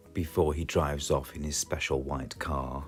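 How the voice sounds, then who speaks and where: A man with a British accent and a very deep, low pitch, fairly slow, over background music. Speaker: children's story reader. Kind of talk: children's picture book read-aloud.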